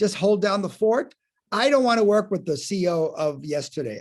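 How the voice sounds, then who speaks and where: A man's high-pitched voice with lively intonation on a very clean recording with a silent background. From outside the US, non-English-speaking country. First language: not English. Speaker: acting and life coach. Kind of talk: podcast interview. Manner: animated.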